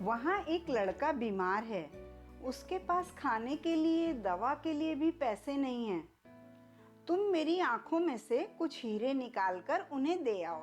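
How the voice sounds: A woman speaks slowly in a put-on character voice, pitched high with big pitch swings, while faint music plays in the background.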